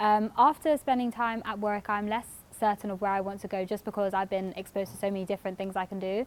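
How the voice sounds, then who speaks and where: Speaking with a London accent, a woman goes at a very fast pace with hardly any pauses. Her medium-pitched voice keeps a fairly even intonation. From North London, England. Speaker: university student. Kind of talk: casual testimony. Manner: hesitant with frequent fillers.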